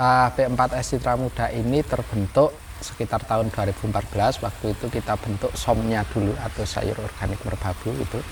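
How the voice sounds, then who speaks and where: A man speaks in a fairly low pitch with hardly any pauses. Noticeable background noise sits behind him. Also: ordinary pitch variation, fairly quick pace. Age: 20s. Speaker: young organic farmer, farm training centre leader. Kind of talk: interview.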